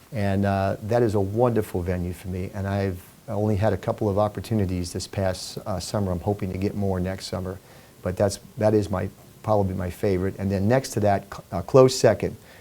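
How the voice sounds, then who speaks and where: Music plays behind a man with an American accent who speaks fast-ish at a fairly quick pace, in a fairly low pitch with monotone, flat intonation. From New York, Brooklyn and Long Island. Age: 60s. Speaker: singer and entertainer, retired Marine. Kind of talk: interview. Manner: halting.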